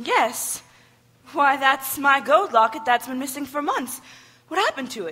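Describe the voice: A woman, pitched high, puts on a character voice with a bright, sharp tone, lively intonation and a fairly slow pace.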